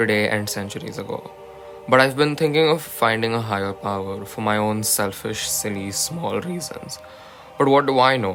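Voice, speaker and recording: Music plays in the background while a man speaks at a moderate pace. His pitch is medium and his intonation lively. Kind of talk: poetry reading. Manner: sleepy, early-morning.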